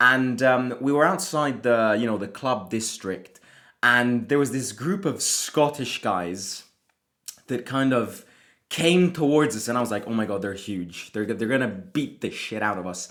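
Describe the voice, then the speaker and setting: Speaking at a fairly slow pace, a man of medium pitch uses lively intonation. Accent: Italian. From Italy. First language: Italian. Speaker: football fan channel host. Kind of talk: casual football preview vlog. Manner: casual, with frequent hesitations.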